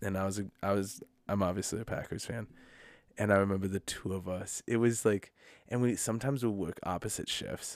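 A man with an Upper Midwest accent on a very clean recording with a silent background. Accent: Upper Midwest American. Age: 30s. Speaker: podcast co-host, pastor. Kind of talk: casual chat.

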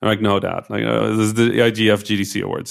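A man with vocal fry and a fairly low pitch speaks at a very fast pace in a very clean recording with a silent background. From Netherlands, Egyptian father. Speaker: game developer. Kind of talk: interview.

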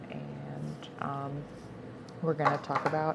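Very slow speaking, with noticeable background noise. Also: woman. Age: 20s. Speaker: podcaster. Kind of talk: casual monologue. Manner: halting.

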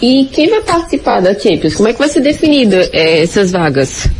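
Over noticeable background noise, a woman talks at a moderate pace with very wide pitch swings. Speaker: football pundit. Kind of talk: sports discussion. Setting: at home in the kitchen. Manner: soft-spoken.

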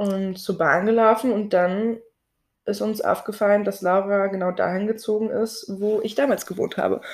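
An unremarkable speaking voice from a woman at medium pitch, with fairly even intonation and a moderate pace. The recording is very clean, with a silent background. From Berlin, Germany. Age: 20s. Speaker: podcast co-host, Instagram creator. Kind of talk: casual chat.

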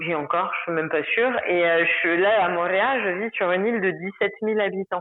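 A woman with an ordinary speaking voice keeps a moderate pace with hardly any pauses, speaking at a medium pitch with ordinary pitch variation and very even loudness. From Paris, France. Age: 30s. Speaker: expatriate interviewee. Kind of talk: casual interview.

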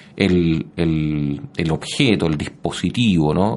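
A man with a very deep, low pitch speaks with ordinary pitch variation. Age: 40s. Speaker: history professor. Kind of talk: interview. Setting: radio studio. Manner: halting, many repetitions and fillers.

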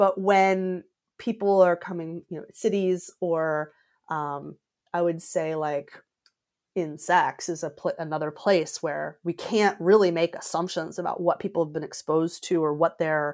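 A woman's plain, everyday voice, fairly low in pitch, with fairly even intonation and a fairly slow pace. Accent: American. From US South, Georgia. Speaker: coach. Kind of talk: interview.

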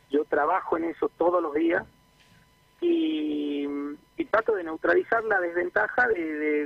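A man speaks at a fairly slow pace with a Buenos Aires accent. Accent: sounds like a Buenos Aires speaker. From northern Argentina (Jujuy). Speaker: franchise owner. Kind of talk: radio interview.

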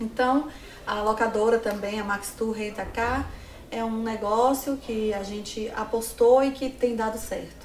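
Noticeable background noise sits behind a woman with a fairly high pitch. She speaks at a fairly slow pace in a flat monotone. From Bahia, Brazil (Livramento). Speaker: entrepreneur. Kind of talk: interview. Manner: halting.

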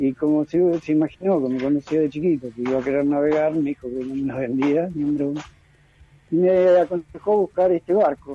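Noticeable background noise sits under the man's fairly high-pitched voice. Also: ordinary pitch variation, fairly quick pace, dry, close sound with no echo. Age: 60s. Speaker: sailor. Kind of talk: interview.

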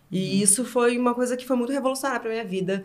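Pitched fairly high, this woman has an unremarkable speaking voice and ordinary pitch variation. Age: 30s. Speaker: content platform founder. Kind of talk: casual chat.

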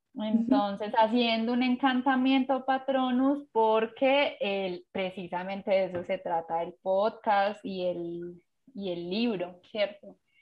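A woman talks very slowly, her fairly high voice showing ordinary pitch variation. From Colombia, Pereira. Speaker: graphic designer and illustrator. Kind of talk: interview. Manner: hesitant, many fillers.

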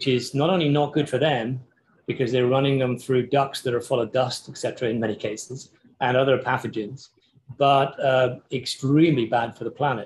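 In an English accent, a man speaks somewhat breathily at medium pitch and a moderate pace. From England. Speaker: architecture professor. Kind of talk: casual interview. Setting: video call. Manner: halting, many fillers.

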